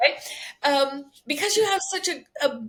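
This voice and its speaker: Speaking at a fairly quick pace, a woman has a high pitch. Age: 60s. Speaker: somatic healer. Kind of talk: casual chat.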